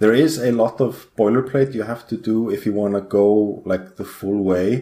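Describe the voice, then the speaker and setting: A man speaks with an Icelandic accent. His tone is dark and mellow, and his pace is moderate. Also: medium pitch for a man, ordinary pitch variation, very clean recording, silent background. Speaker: game company programmer. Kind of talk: podcast interview.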